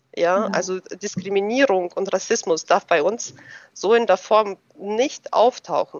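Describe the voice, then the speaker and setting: A woman's voice at medium pitch, with ordinary pitch variation and a fairly slow pace. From Germany, moved from Russia at age ten. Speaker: tax advisor. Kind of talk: interview. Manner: hesitant, many filler sounds.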